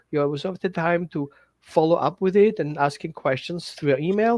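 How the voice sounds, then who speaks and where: A man with a non-native accent and a high pitch speaks at a fairly quick pace with lively intonation. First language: not English. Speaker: dog trainer. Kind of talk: workshop pitch. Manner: halting.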